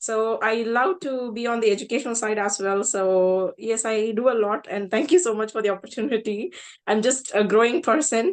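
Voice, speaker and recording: A woman speaks with a South Indian accent at a moderate pace, with hardly any pauses. Her pitch is fairly high, with ordinary variation. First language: Tamil. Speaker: translator and author. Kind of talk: self-introduction in online panel.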